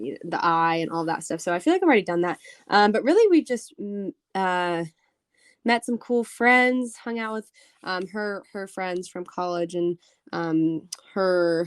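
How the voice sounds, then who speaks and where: On a very clean recording with a silent background, a woman in a plain, everyday voice with an American accent speaks at a fairly slow pace, her medium pitch showing ordinary variation. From United States. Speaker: podcast co-host. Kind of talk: casual chat.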